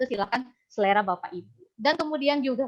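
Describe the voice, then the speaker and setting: Her intonation lively, a woman speaks with a slight Sundanese accent. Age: young. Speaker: university lecturer in Japanese. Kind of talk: webinar presentation. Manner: casual, with fillers.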